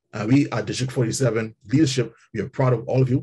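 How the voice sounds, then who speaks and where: A man talks in a dark, mellow tone. There is a somewhat breathy quality to it. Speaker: public relations manager and trainer; trainer. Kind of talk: motivational speech. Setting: video call. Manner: halting. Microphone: video call.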